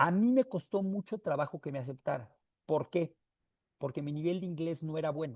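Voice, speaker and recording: In a plain, everyday voice, a man speaks at a moderate pace with a fairly high pitch and lively intonation, the sound dry and close with no echo. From Mexico. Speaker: motivational speaker. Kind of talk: talk to an audience.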